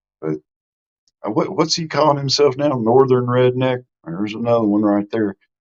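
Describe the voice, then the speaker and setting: The speaker has an American accent. The intonation is lively. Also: man. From US South, Mississippi. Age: 60s. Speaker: live streamer, YouTube host. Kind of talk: casual live stream chat. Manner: informal, folksy.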